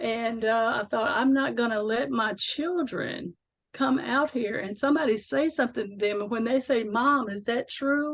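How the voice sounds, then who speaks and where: Delivered at a moderate pace, the speech has lively intonation. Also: woman, fairly high pitch for a woman. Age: 60s. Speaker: faith author. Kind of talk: interview. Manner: halting.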